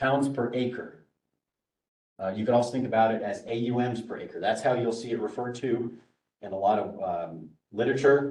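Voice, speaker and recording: Audible room echo surrounds a man at a medium pitch and moderate pace. He shows ordinary pitch variation and takes long, frequent pauses. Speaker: workshop presenter on grazing management. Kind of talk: workshop lecture.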